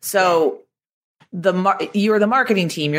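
With an American accent and an unremarkable speaking voice, the speaker talks at a fairly quick pace with lively intonation on a very clean recording with a silent background. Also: woman. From Boston, US. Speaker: digital marketing expert and author. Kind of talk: casual interview chat.

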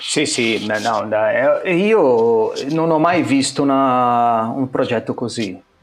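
In a Portuguese accent, the speaker goes at a very slow pace with lively intonation and hardly any pauses. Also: man, medium pitch for a man. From Brazil. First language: Portuguese (speaking Italian). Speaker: photographer. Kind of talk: casual interview. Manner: halting, many repetitions.

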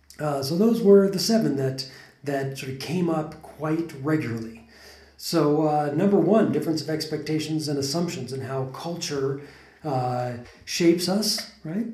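A man's fairly high voice, an ordinary speaking voice with a General American accent, at a moderate pace with ordinary pitch variation. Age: 40s. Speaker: podcast host. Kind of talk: casual conversational podcast.

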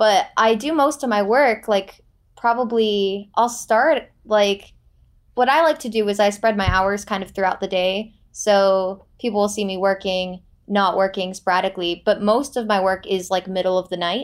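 A woman speaks at a medium pitch and a moderate pace, with ordinary pitch variation and an unremarkable speaking voice. The recording is very clean, with a silent background. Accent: American. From Florida. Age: 20s. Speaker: student apprentice. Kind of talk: interview.

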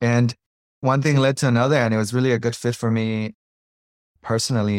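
A man speaks at a fairly quick pace with long, frequent pauses. His intonation is monotone and flat, and the sound is dry and close with no echo. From Colombia. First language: Spanish. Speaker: startup founder and CEO. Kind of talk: casual interview conversation.

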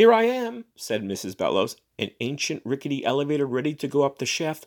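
A man talks at a moderate pace in a fairly high pitch, with very wide pitch swings. The sound is dry and close, with no echo. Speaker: podcast host reading fiction aloud. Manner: measured, expressive storyteller delivery; casual, chatty in the intro and outro.

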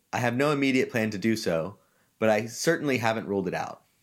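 A man's medium-pitched, normal speaking voice with ordinary pitch variation, in a very clean recording with a silent background. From US South, Georgia. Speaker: podcast host. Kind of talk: opinion monologue.

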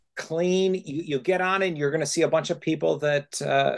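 Against a quiet background, a man with an American accent speaks at a moderate pace in a fairly high pitch, showing ordinary pitch variation and a plain, everyday voice. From central New York. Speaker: scientist and travel writer. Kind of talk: casual chat.

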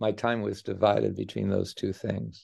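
At a fairly slow pace, a man is speaking. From Canada, Edmonton, Alberta. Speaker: economics professor. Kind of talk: interview.

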